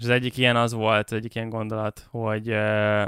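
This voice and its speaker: Recorded very cleanly against a silent background, a man speaks at medium pitch in a monotone, flat way, with a dry, close sound and no echo. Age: 20s. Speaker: webshop entrepreneur. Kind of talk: casual business interview. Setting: studio. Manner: hesitant, many fillers.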